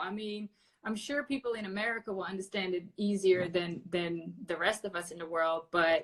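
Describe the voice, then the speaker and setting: Delivery comes at a fairly quick pace. Pitch variation is ordinary. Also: woman. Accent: Dutch. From Netherlands, Amsterdam. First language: Dutch. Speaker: podcast host. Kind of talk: casual interview. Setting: Instagram live video call.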